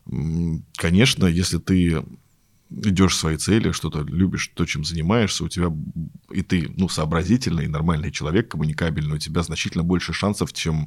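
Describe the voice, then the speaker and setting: The speaker moves at a fairly quick pace. Pitch varies in an ordinary way. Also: man. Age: 30s. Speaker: web designer. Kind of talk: casual chat. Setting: studio.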